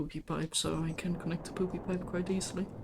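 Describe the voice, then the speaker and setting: Moderate pace from a woman with a non-native accent. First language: not English. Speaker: gaming streamer. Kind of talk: casual gameplay chat. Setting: live stream.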